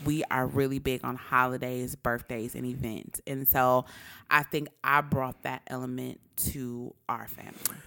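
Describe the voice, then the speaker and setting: Loud and bright with a sharp tone, a woman speaks with a very deep, low pitch in a very clean recording with a silent background. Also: fairly slow pace. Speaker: podcast co-host. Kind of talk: casual chat. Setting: home recording at night. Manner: excited.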